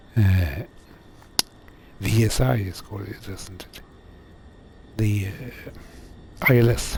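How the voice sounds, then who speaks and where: A man's fairly low voice at a very slow pace, with long, frequent pauses, ordinary pitch variation and big swings in loudness, amid audible room echo and noticeable background noise. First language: not English. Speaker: flight sim streamer. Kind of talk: live gameplay commentary. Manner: halting, many fillers.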